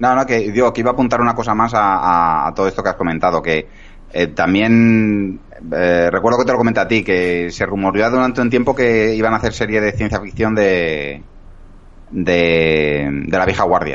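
Talking at a moderate pace, a man with an ordinary speaking voice and a fairly low pitch shows ordinary pitch variation and very even loudness. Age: 40s. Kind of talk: casual chat.

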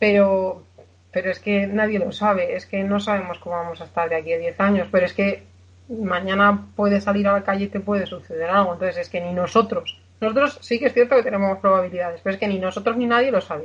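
Somewhat breathy, a woman's voice moves along at a fairly quick pace. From Spain, Aragón (village in Zaragoza province). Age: 20s. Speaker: patient sharing her story of living with a muscular disease. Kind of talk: interview testimony. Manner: halting, with many fillers.

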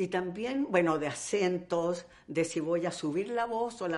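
Her fairly low-pitched voice has ordinary pitch variation as this woman speaks. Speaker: actress. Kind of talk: interview. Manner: animated.

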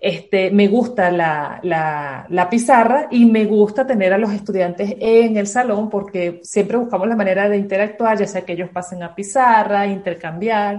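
This is an ordinary speaking voice at a moderate pace. It runs on with hardly any pauses. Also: woman, medium pitch for a woman, ordinary pitch variation. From Venezuela, Caracas. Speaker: university physics lecturer. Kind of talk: interview.

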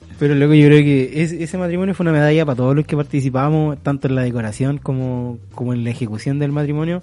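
Talking at a very fast pace with hardly any pauses, a man with a Chilean accent has a fairly high pitch, a dark, mellow tone and ordinary pitch variation. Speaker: podcast host. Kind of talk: casual chat.

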